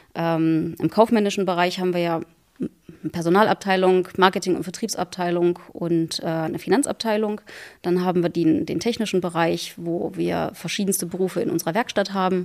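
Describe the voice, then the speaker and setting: A woman with an ordinary speaking voice, fairly low in pitch, fairly even in intonation, at a moderate pace. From Saxony-Anhalt, Harz region. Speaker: railway company managing director. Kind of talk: interview. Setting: town hall.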